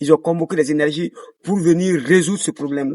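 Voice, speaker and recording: A man with a West African accent, fairly high in pitch, fairly quick, with fairly even intonation and a dry, close sound with no echo. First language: Dioula (speaking French). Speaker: dancer and choreographer. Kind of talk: interview. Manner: hesitant, many fillers.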